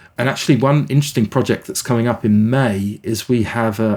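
Here a man talks with a British accent. He speaks at a medium pitch. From England. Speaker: nonprofit CEO. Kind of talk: interview.

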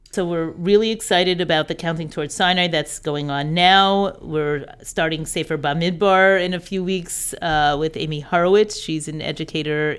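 A woman's ordinary speaking voice, fairly low in pitch, with an American accent and a moderate pace, in a very clean recording with a silent background. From New York. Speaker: director of a women's education program. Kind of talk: interview.

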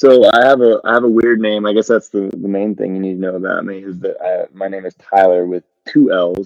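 A man with an American accent and a normal speaking voice, fairly low in pitch, fairly quick with hardly any pauses and fairly even intonation. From southwest Colorado. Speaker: country music singer-songwriter. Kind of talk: casual chat.

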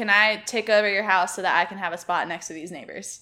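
A bright, sharp tone with fairly even intonation, on a very clean recording against a silent background. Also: woman. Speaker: podcast co-host. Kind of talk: casual chat. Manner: sarcastic.

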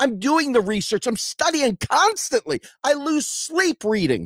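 Using an extremely high pitch with very wide pitch swings, a man speaks at a fairly slow pace in a dry, close sound with no echo. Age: 50s. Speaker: political podcast host. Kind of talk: political commentary monologue. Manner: animated.

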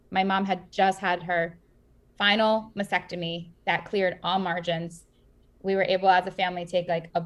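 A woman with an American accent, medium in pitch, at a moderate pace. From US Northeast, Queens, New York. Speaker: startup founder and cancer survivor. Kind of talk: interview. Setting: video call.

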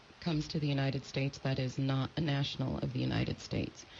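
A woman's somewhat breathy voice with a General American accent. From California, US. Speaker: immigration lawyer. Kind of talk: radio interview.

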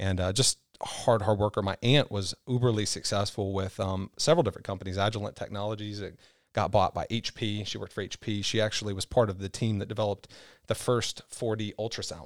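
In a very clean recording with a silent background, a man with an American accent talks at a very fast pace in a fairly low voice with fairly even intonation. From Kentucky. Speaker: sales manager. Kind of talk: casual interview. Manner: fast talker.

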